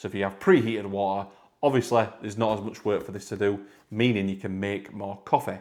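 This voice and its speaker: Speaking at a very fast pace, a man with a northern English accent has a fairly low pitch. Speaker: product reviewer. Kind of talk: product review tutorial. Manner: casual, repetitive.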